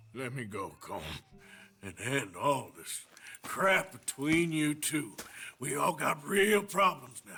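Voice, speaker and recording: Using a put-on character voice, a man talks at a fairly slow pace with a fairly high pitch, very wide pitch swings and long, frequent pauses. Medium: video game. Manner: terse.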